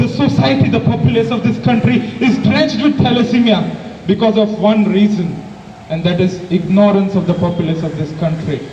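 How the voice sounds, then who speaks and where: A man shouts loudly in a high voice at a moderate pace. Audible room echo and noticeable background noise surround him. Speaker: medical student giving a speech. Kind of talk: public speech. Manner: loud, shouting; impassioned, rhetorical.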